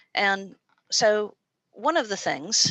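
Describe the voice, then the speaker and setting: Against a quiet background, a woman with an American accent speaks in a bright, sharp tone with lively intonation, the sound dry and close with no echo. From US. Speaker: university lecturer. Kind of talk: informational presentation. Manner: many filler words.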